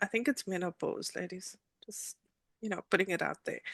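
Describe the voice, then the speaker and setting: Vocal fry from a woman at medium pitch, ordinary pitch variation, the sound dry and close with no echo. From South Africa, Cape Town. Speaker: attorney. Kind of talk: interview. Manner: hesitant, many fillers.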